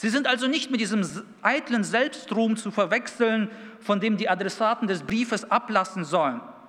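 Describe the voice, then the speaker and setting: Over noticeable background noise, a man with a non-native accent speaks at a moderate pace in a high voice. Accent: noticeable foreign. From Kazakhstan, then Dülmen in Münsterland from age 11. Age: 30s. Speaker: youth pastor. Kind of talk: sermon.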